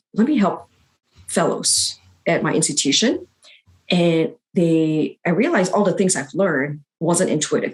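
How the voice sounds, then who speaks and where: A woman talks at a moderate pace, leaving long, frequent pauses. Her voice is fairly low in pitch and somewhat breathy. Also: ordinary pitch variation. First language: not English. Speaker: physician and academic writing coach. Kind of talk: interview. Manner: halting, with fillers.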